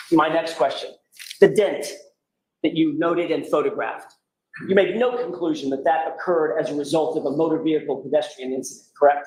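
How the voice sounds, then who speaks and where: The speaker talks at a fairly quick pace, and audible room echo fills the recording. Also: man, fairly high pitch for a man, ordinary pitch variation. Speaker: defense attorney. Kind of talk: courtroom cross-examination. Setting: courtroom. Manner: raised voice, loud; formal.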